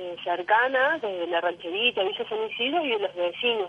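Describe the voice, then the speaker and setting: Lively intonation runs through an unremarkable speaking voice. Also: woman. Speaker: neighborhood activist. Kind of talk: phone interview. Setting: phone call.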